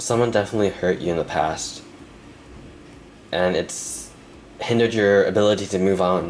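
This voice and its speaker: A man with a fairly low pitch speaks at a moderate pace with fairly even intonation and very even loudness, pausing long and often. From Canada. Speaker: tarot reader. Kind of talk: tarot reading to camera.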